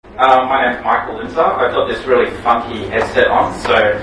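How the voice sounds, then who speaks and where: Against noticeable background noise and audible room echo, a man speaks at a fairly quick pace. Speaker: tech company founder and speaker. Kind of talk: conference talk. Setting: stage with audience. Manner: loud; animated.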